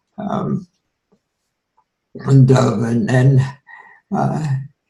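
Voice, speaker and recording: Somewhat breathy and dark, mellow in tone, this voice moves at a very slow pace with lively intonation. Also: man. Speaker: Zen teacher. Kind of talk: casual conversation. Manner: halting.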